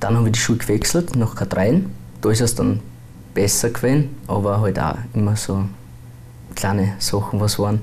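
A man at a fairly low pitch and moderate pace, with very even loudness and long, frequent pauses, over light background noise. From Austria, Bruck; Austria. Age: 20s. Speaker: transgender YouTuber; interviewee. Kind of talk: interview. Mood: calm, a bit reserved. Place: studio. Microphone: lapel.

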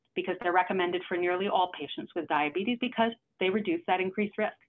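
A woman speaks at a very fast pace with an American accent against a quiet background. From New York City. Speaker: cardiologist; presenter. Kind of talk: lecture. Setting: video call. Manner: fast talker. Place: home room. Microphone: webcam.

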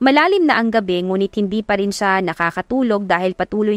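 What you hear is plain reading aloud.

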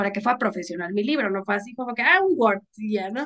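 Against a quiet background, a woman with a fairly high pitch talks at a very fast pace. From Mexicali, Baja California, northern Mexico; Baja California, Mexico. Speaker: author and content creator; interview guest. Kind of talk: casual chat. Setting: video call. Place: home room. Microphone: video call.

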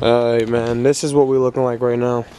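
The sound is dry, without echo. A man speaks over loud background noise. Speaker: car vlogger. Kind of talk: casual vlog chat. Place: street. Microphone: phone near.

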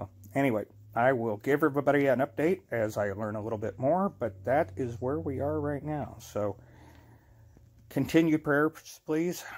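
A man's pitch moves in an ordinary way as he talks at a moderate pace. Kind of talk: casual vlog chat. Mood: earnest, grateful. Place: home room. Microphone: phone near.

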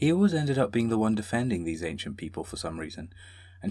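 The speaker uses a natural reading voice.

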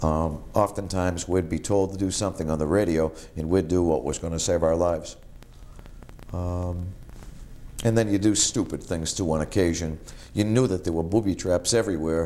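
A man's very deep, low voice with a Boston accent and a dark, mellow tone, at a moderate pace with fairly even intonation and long, frequent pauses. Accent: Eastern New England (Boston area). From Massachusetts North Shore (Marblehead); Massachusetts. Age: 50s. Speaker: war veteran. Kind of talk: oral history interview. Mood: calm, reflective. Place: home room. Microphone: lapel.

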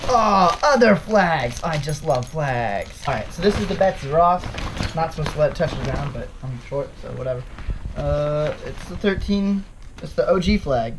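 With noticeable background noise behind him, a man talks fairly slowly at a high pitch with lively intonation. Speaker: vlogger opening presents. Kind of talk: casual vlog chat. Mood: cheerful, amused. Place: home room. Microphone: camera far.

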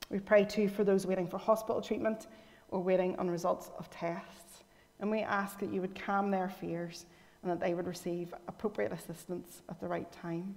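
A woman with a Northern Irish accent, medium pitch, monotone, flat intonation and a moderate pace. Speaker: lay worship leader. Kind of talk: scripture reading and prayer. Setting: church.

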